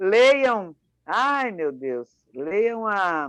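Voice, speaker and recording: A woman talks with very wide swings in pitch. The background is quiet. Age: 70s. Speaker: author. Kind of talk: casual chat. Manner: halting.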